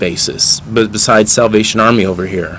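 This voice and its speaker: There is noticeable background noise in the recording. A man speaks at a moderate pace. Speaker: interviewer, channel host. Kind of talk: street interview questions. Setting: outdoors.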